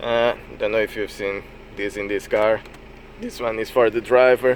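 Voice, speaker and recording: A man's voice with a non-native accent, over noticeable background noise. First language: not English. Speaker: private car seller. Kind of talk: casual car walkaround talk to camera. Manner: hesitant, frequent fillers.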